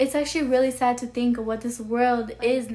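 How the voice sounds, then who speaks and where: A woman's high voice holds a monotone, flat intonation. She keeps a moderate pace. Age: 20s. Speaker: vlogger. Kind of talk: personal monologue vlog. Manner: casual, full of fillers.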